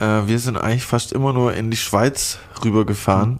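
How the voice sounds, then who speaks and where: Medium in pitch, a man speaks at a moderate pace. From southern Baden, near Basel. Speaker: podcast host. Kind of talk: casual chat. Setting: studio.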